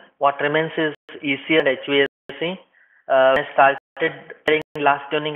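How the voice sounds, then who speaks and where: A man talks at a fairly quick pace in a fairly high pitch. His intonation is monotone and flat. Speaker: software trainer. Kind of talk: lecture. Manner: fast; halting.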